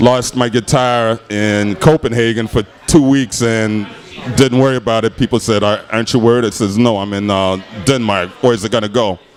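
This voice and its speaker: Speaking at a moderate pace with fairly even intonation, a man with an American accent uses a medium pitch while noticeable background noise runs underneath. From Chicago. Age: 60s. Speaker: blues guitarist. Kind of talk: casual interview chat.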